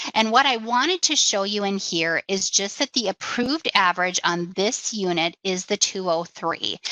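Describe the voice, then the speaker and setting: A woman at a moderate pace keeps a medium pitch with ordinary variation, noticeable background noise running behind her. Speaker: insurance company executive giving a software demo. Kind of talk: webinar tutorial. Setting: webinar screen share.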